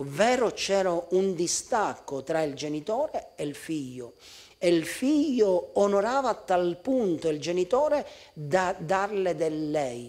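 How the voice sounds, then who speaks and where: A high-pitched man with a Sicilian accent, very slow pace and very wide pitch swings, against a quiet background. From Sicily. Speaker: pastor. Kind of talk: sermon; sermon-style talk to camera. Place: church.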